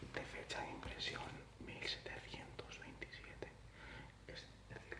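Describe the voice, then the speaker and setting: Noticeable noise fills the background. Over it comes a whisper. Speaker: ASMR creator, antique book collector. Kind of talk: ASMR whisper show-and-tell. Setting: home desk, lo-fi mono recording. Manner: whispered; slow, soft-spoken.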